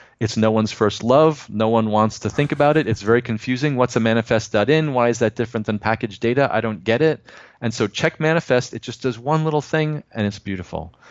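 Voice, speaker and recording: A man speaks at a fairly quick pace with hardly any pauses, in an ordinary speaking voice. His pitch is medium, with ordinary pitch variation. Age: 50s. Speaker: software developer. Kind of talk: casual interview.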